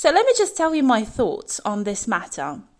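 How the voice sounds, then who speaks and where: In a British accent, a woman talks at a moderate pace. The recording is very clean and the background silent. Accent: British with a slight twang. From UK, raised in bilingual Russian household. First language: Russian. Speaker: English teacher. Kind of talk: podcast monologue. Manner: casual with frequent fillers.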